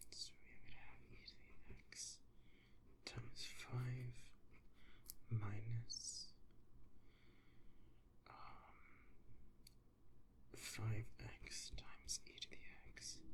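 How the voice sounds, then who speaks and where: A very slow whisper broken by long, frequent pauses. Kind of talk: whispered ASMR study session, talking through calculus homework. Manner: whispered, soft.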